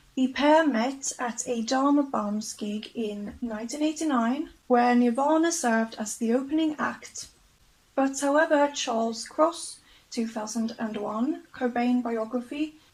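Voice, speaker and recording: A woman with a non-native accent, high-pitched, at a fairly slow pace. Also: ordinary pitch variation. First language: not English. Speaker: YouTuber. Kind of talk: documentary-style narration of facts. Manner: casual, with fillers.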